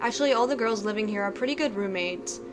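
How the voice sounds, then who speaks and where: A woman speaks at a medium pitch with lively intonation. Noticeable background noise runs under her voice. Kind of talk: read story.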